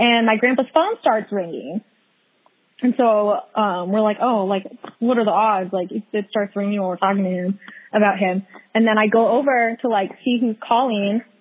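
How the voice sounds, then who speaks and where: A woman with an ordinary speaking voice talks at a moderate pace, her pitch fairly high with ordinary variation. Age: 20s. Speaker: podcast guest. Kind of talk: casual chat.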